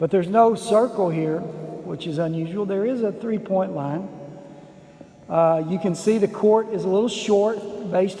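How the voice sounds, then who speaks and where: Amid noticeable background noise and audible room echo, a man with a West Texas accent talks at a moderate pace in a relaxed, high-pitched tone with fairly even intonation. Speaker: basketball history vlogger. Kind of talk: casual video tour narration. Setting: inside an empty school gym. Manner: relaxed, conversational with fillers.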